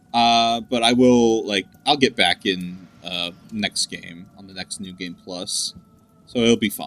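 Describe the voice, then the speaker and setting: A man at a very slow pace, ordinary pitch variation and big swings in loudness, dry and close with no echo, music in the background. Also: medium pitch for a man. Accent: American. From US South. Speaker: gaming podcast co-host. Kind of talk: casual chat. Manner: many filler words (uh, like).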